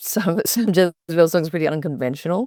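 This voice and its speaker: This is a woman with an Australian accent. Her pitch is fairly low. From Australia, Byron Bay. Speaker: singer-songwriter. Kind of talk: interview.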